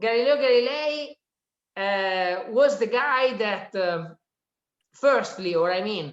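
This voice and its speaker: This woman speaks at a very slow pace in an Italian accent, her fairly high voice carrying lively intonation. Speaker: economist and author giving a talk. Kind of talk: lecture. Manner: halting, with frequent fillers.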